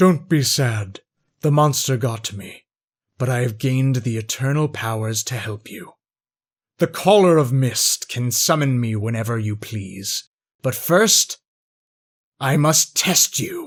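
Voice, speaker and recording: Using a put-on character voice at a medium pitch, a man speaks at a fairly slow pace with long, frequent pauses. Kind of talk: wise, solemn.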